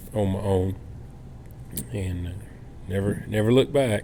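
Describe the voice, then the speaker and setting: With a North Carolina accent, a man speaks at a very deep, low pitch, and audible room echo fills the recording. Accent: US Southern (North Carolina). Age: 60s. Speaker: home builder. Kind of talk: casual chat. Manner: halting, many fillers.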